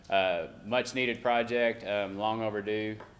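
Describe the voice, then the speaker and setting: There is audible room echo around this voice. A man with a fairly low pitch speaks with an American accent. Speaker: city staff presenting infrastructure projects. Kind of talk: council meeting presentation. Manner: fast.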